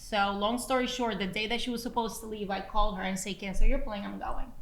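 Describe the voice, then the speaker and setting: Fairly quick, fairly high-pitched speech from a woman, with audible room echo. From Brazil, moved to New Jersey at fourteen. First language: Portuguese. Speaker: podcast co-host, entrepreneur and mother. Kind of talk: casual chat.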